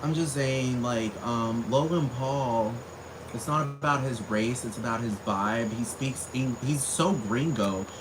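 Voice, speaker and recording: Amid audible room echo and noticeable background noise, a man with a medium pitch and ordinary pitch variation talks at a fairly slow pace. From US, Texas (Spring, north Houston), Puerto Rican family. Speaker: vlogger. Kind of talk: casual monologue rant. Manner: animated.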